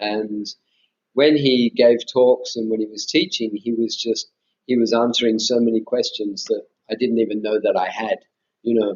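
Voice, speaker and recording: With an Australian accent, a man speaks at a medium pitch with fairly even intonation and long, frequent pauses. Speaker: meditation teacher, former Buddhist monk. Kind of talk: interview conversation. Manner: hesitant, many fillers and restarts.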